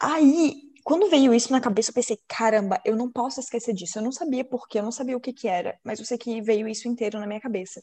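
A woman speaks at a fairly quick pace with a high pitch. Her tone is dark and mellow. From Florianópolis, Santa Catarina, southern Brazil. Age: 20s. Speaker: podcast host. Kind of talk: casual chat.

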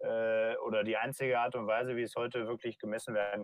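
A man talks in a normal speaking voice at a medium pitch. His pace is fairly quick. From Germany, rural North Rhine-Westphalia. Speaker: startup founder. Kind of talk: interview.

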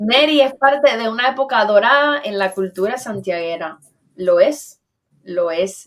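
In an ordinary speaking voice, a woman speaks at a fairly slow pace with fairly high pitch and lively intonation. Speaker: online talk show host. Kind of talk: casual interview conversation.

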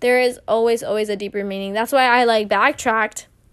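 On a very clean recording with a silent background, a woman with a normal speaking voice talks at a moderate pace, fairly high in pitch, with fairly even intonation. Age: 20s. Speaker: solo podcast host. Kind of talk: casual monologue.

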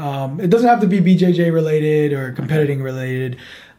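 Talking at a fairly quick pace in an American accent, a man with a fairly high pitch and a dark, mellow tone shows ordinary pitch variation over audible room echo. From New York City. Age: 30s. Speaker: podcast host. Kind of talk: casual chat. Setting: studio with cameras.

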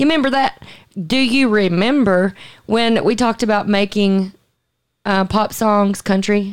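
A woman with a Southern US accent, medium in pitch, at a fairly slow pace with ordinary pitch variation, very even loudness, and long, frequent pauses. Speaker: podcast host. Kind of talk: casual chat.

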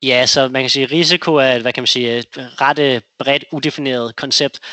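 Here is a man at medium pitch. He talks at a moderate pace. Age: 30s. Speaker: investor. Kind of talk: interview. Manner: halting.

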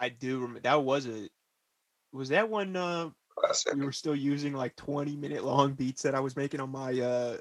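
The sound is dry and close, with no echo. An unremarkable speaking voice keeps a moderate pace, its pitch varying in an ordinary way. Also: man, fairly high pitch for a man. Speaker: podcast co-host. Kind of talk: casual comedic banter. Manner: joking, laughing.

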